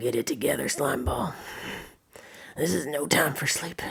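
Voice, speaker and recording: This put-on character voice is raspy, pitched low-to-middle, and moves at a moderate pace. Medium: read story.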